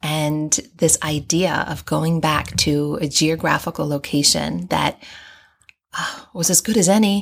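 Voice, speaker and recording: Here a woman speaks in an American accent with an ordinary speaking voice. Her pace is fairly slow. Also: very clean recording, silent background. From US and Hong Kong (raised overseas). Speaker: guest with a doctorate, third culture kid. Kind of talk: casual interview. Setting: in person.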